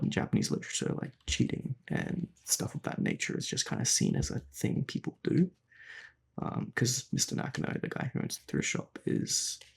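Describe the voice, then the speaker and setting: Words come at a medium speed, spoken with an Australian accent. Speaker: gaming YouTuber. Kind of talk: casual commentary. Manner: halting, many fillers.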